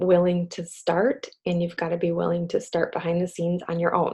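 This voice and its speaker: A woman speaks quietly. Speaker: direct sales team leader. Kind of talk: motivational team call. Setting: video call. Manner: quiet, subdued; halting, with fillers.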